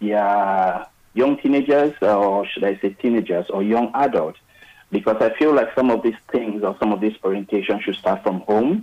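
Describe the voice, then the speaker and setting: In a plain, everyday voice, a man speaks at a moderate pace with fairly low pitch and ordinary pitch variation. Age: young. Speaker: radio caller. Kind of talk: phone-in comment. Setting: phone call.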